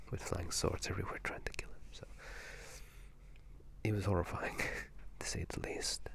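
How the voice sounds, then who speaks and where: A whisper at a moderate pace, broken by long, frequent pauses, with noticeable background noise. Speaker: video game commentator. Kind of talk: ASMR whispered gaming commentary. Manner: whispered, soft-spoken.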